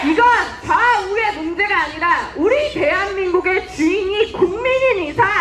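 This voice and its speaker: A woman speaks with an extremely high pitch. Her pace is moderate and her pitch variation ordinary. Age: 20s. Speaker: political activist. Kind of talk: political rally speech. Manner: impassioned, shouting slogans.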